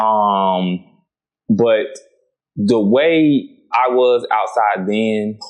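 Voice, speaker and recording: A man's fairly low voice in an American accent, very slow, with ordinary pitch variation and long, frequent pauses. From Florida, outskirts of Tampa. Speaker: reality TV personality. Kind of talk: podcast interview.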